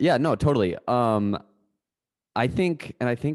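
An unremarkable speaking voice from a man, moderate in pace with lively intonation, dry and close with no echo against a quiet background. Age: 20s. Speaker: podcast co-host. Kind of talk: casual chat.

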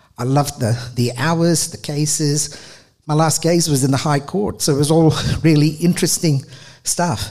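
A fairly high-pitched man with a somewhat breathy voice speaks at a moderate pace with ordinary pitch variation, in a very clean recording with a silent background. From Australia, Adelaide. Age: 50s. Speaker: charity manager and former lawyer. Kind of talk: storytelling talk. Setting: stage with audience.

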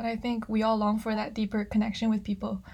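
This woman's voice is fairly high-pitched yet dark and mellow in tone, somewhat breathy, with a monotone, flat intonation. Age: 20s. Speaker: podcast host. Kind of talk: interview. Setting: video call.

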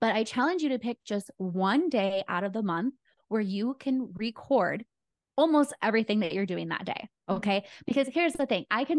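At a fairly quick pace, a woman talks with a fairly high pitch, very wide pitch swings and an animated tone, in a dry, close sound with no echo and a quiet background. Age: 30s. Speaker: wedding photographer and content creator. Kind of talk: podcast interview.

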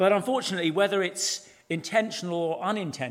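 The voice reads aloud naturally.

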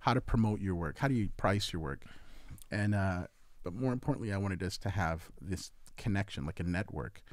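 Here a man uses a plain, everyday voice. His pitch is fairly low, and his pace fairly quick. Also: ordinary pitch variation. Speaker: event organizer and artist. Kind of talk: casual chat.

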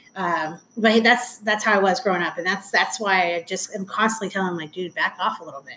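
Over noticeable background noise, a woman with a Southern Californian accent speaks at a fairly quick pace with hardly any pauses, at a medium pitch with fairly even intonation. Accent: Southern California American. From Anaheim, California. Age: 40s. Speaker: guest, mother and stepmom. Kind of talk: casual interview, personal storytelling.

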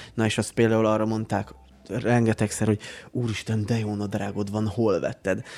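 Here a man speaks in a fairly low pitch at a moderate pace. His intonation is flat and monotone. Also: very clean recording, silent background. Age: 30s. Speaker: podcast co-host. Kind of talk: casual chat. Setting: studio.

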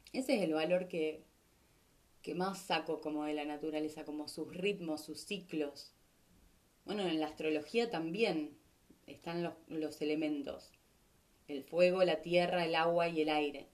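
A woman with a Rioplatense accent speaks fairly slowly in a very deep, low pitch. Her intonation is fairly even, broken by long, frequent pauses. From Argentina, Rosario. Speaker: podcast host. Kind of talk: casual monologue.

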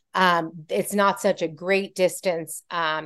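Against a quiet background, a woman with an ordinary speaking voice talks in a fairly low pitch and fairly even intonation. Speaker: podcast host. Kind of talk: conversational interview. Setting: video call.

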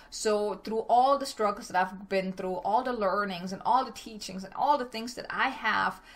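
With an enthusiastic tone at a medium pitch, a woman speaks over noticeable background noise. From Germany. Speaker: business coach and podcast host. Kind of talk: solo podcast monologue.

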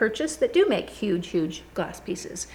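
Moderately paced speech in an American accent, noticeable noise behind it. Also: woman. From California. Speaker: glass artist and gallery owner. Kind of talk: interview. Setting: in her gallery studio.

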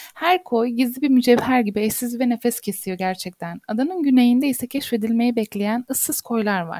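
This woman's high-pitched voice has a dark, mellow tone, ordinary pitch variation and a moderate pace, recorded with a dry, close sound and no echo. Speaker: architect. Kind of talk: casual interview.

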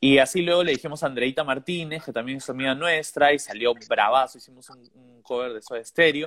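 A man with a Peruvian accent speaks at a very fast pace, with hardly any pauses. His fairly high voice shows ordinary pitch variation and big swings in loudness. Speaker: musician. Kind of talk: casual chat.

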